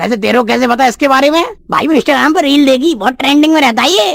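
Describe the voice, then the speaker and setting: A cartoonish character voice pitched high. The lines come out at a very fast pace. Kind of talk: comic overacting. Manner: naive, earnest.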